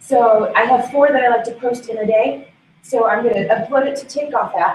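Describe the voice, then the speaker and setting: A woman speaks with a fairly high pitch. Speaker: conference presenter. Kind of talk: conference presentation. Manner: fast.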